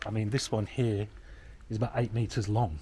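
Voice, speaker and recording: A quiet man with an English accent, fairly low in pitch, somewhat breathy, with a dark, mellow tone. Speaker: property renovator. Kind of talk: casual chat. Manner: quiet voice.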